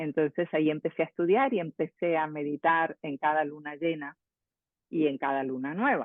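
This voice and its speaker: At a moderate pace, a woman talks with fairly even intonation in a very deep, low pitch. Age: 60s. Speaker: transpersonal psychologist and author. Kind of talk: interview. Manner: halting, with many fillers and repetitions.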